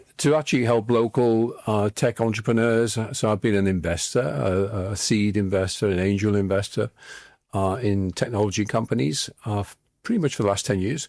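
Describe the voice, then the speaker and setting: In a very clean recording with a silent background, a man with a Liverpool accent talks at a moderate pace, using a fairly low pitch, ordinary pitch variation and very even loudness. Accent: Liverpool (Scouse). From northern England, Liverpool. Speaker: former tech executive and investor. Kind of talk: interview. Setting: studio.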